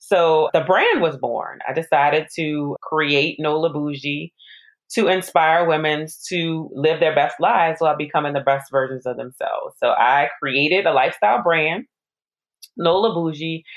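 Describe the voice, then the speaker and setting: A woman's very deep, low voice with an American accent, moderate pace and ordinary pitch variation. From New Orleans, US South. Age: 40s. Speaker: pharmacist and widowhood influencer. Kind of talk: interview.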